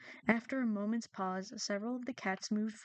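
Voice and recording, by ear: Text read aloud in a natural voice.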